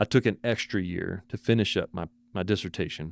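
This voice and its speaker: In a Texan accent, a man talks at a moderate pace and a fairly low pitch. The sound is dry and close with no echo, on a very clean recording with a silent background. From Texas. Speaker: photographer and professor. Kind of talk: casual interview. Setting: his office at university. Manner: repeats words often.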